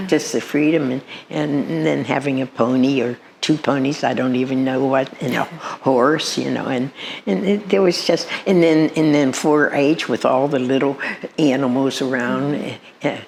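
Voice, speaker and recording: With noticeable background noise behind her, a woman whose pitch is very deep and low speaks at a moderate speed, her pitch varying in an ordinary way. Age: 90s. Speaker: retired farm wife and mother of eight. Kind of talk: interview answer. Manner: hesitant, halting.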